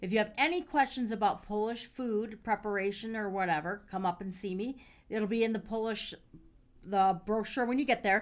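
At a moderate pace, a woman speaks in an unremarkable speaking voice with a fairly high pitch and ordinary pitch variation. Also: very clean recording, silent background. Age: 50s. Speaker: podcast host and caterer. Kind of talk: casual chat. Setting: studio.

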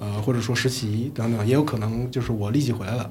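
A man at a very fast pace, medium pitch, ordinary pitch variation, with noticeable background noise and audible room echo. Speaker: podcast host. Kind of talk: casual chat. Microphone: new recording equipment.

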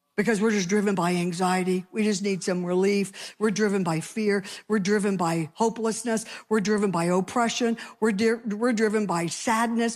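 A woman with a normal speaking voice talks at a medium pitch and a moderate pace, with fairly even intonation and very even loudness. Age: 60s. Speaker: pastor. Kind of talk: sermon.

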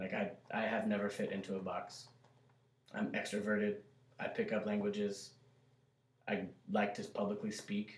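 Pausing long and often, a man with an American accent speaks at a moderate pace. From US South. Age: 30s. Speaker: army veteran, restaurant manager. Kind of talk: casual chat.

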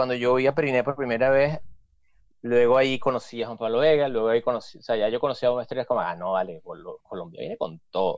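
A man talks at a fairly quick pace with a Venezuelan accent. His pitch is medium. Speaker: musician. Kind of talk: casual chat.

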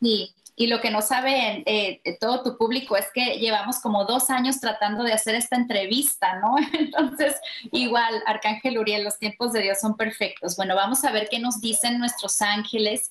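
A woman with an ordinary speaking voice talks at a moderate pace, her fairly high pitch carried on fairly even intonation and very even loudness. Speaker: life coach and spiritual author. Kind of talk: interview testimony.

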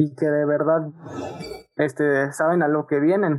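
A man's fairly high voice in a flat monotone. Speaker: media student. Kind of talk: casual chat.

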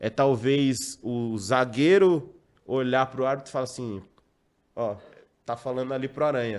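A man with a normal speaking voice talks at a medium pitch. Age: 30s. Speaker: radio sports commentator. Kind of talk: panel discussion.

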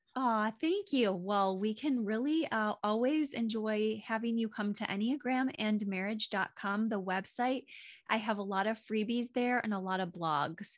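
In a quiet background, a woman with an unremarkable speaking voice talks at a fairly slow pace with hardly any pauses, keeping a fairly high pitch, ordinary pitch variation and very even loudness. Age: 40s. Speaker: marriage coach and podcaster. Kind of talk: casual interview chat.

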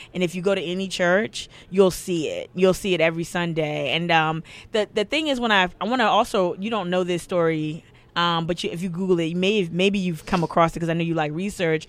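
A woman talks in a normal speaking voice at a fairly quick pace, her pitch fairly low with fairly even intonation. The recording is very clean, with a silent background. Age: 30s. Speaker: podcast host. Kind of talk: casual interview. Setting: livestream.

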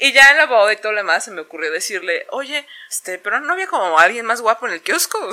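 A very fast voice with very wide pitch swings, big swings in loudness and noticeable background noise. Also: woman, fairly high pitch for a woman. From Mexico. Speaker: podcast co-host. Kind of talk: casual chat.

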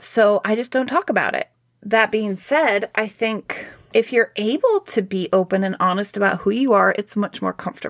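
Recorded dry and close with no echo, a woman with an ordinary speaking voice talks at a moderate pace, her fairly high pitch showing ordinary variation. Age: 40s. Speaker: podcast co-host, practicing witch. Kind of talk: casual chat.

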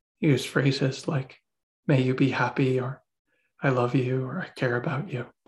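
Calm and soothing in tone, a man speaks with a somewhat breathy voice. His pitch is medium and his intonation fairly even. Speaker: meditation teacher. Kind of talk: guided meditation. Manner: slow, soothing, calm; gentle, unhurried, with long pauses.

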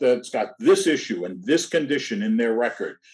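With music in the background, a man with an American accent speaks at a fairly high pitch, making very wide pitch swings. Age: 60s. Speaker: insurance industry association director. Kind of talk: interview.

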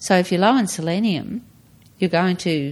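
Heard in a very clean recording with a silent background, a woman with an Australian accent speaks at a moderate pace. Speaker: retired guest, mother of host. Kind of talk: casual interview chat.

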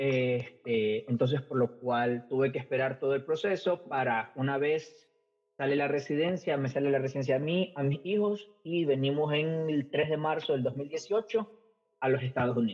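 At a moderate pace, a man with an ordinary speaking voice talks at a fairly high pitch, with ordinary pitch variation and very even loudness. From Ecuador. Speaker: English teacher. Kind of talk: interview.

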